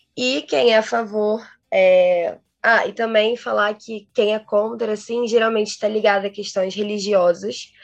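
A woman's fairly high, fairly even voice at a fairly slow pace, a plain, everyday voice. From Rio de Janeiro. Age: 20s. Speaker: international relations graduate and researcher. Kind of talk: interview.

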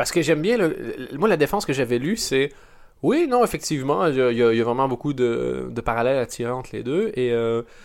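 Over a silent background in a very clean recording, a man with a Canadian French accent speaks at a fairly quick pace, his medium-pitched voice carrying lively intonation. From Canada. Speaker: podcast host. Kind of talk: casual chat.

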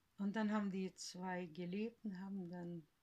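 A woman with a dark, mellow tone and a somewhat breathy quality speaks at a very slow pace. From Siberia, Russia. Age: 70s. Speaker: grandmother, eyewitness of family history. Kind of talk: oral history interview. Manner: halting.

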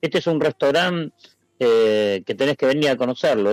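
A man's medium-pitched, normal speaking voice with lively intonation, the sound dry and close with no echo. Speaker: restaurant owner and meat sommelier. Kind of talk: casual interview.

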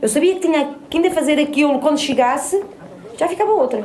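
Over noticeable background noise and audible room echo, a woman speaks at a very fast pace with ordinary pitch variation. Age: 40s. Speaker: rural woman interviewee, public employee. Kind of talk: personal testimony.

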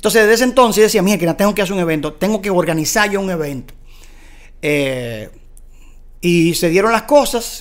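The speech moves at a fairly quick pace. Long pauses break it up often. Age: 40s. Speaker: motorsport commentator. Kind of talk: casual chat. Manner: animated.

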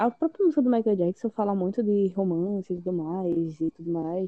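With an unremarkable speaking voice, a woman delivers her words at a moderate pace and a medium pitch. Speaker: podcast co-host. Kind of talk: casual chat.

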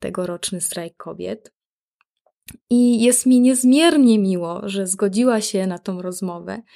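A woman with a fairly high pitch, ordinary pitch variation and an ordinary speaking voice, on a very clean recording with a silent background. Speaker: podcast host. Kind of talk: scripted podcast intro.

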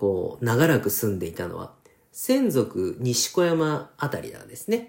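This man talks at a fairly slow pace in a fairly high pitch, his dark, mellow tone moving through very wide pitch swings. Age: 40s. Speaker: rapper and podcast host. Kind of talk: casual solo talk. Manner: many hesitation fillers.

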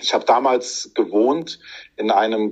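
A man's voice against a quiet background. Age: 40s. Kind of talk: interview.

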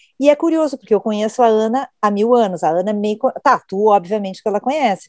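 A woman's fairly high voice at a fairly quick pace, with big swings in loudness. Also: lively intonation. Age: 50s. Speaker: podcast host, journalist. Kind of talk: casual chat.

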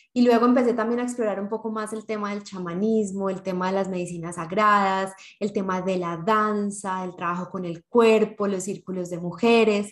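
A woman's medium-pitched, fairly even delivery in an ordinary speaking voice, at a moderate pace with hardly any pauses, on a very clean recording with a silent background. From Colombia (Medellín). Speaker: podcast co-host. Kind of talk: casual chat.

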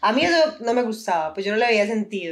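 A woman talks at a very fast pace with lively intonation. Her pitch is medium. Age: 20s. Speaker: university student and influencer. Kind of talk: casual chat.

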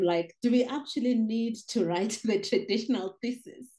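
The speaker goes at a moderate pace with ordinary pitch variation. The voice is somewhat breathy. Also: woman. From South Africa. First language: not English (South African language). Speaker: poet and migration scholar. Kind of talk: interview conversation.

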